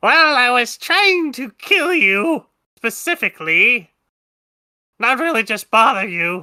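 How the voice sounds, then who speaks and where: A man puts on a character voice at an extremely high pitch, speaking fairly slowly with long, frequent pauses. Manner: ugly exaggerated, menacing.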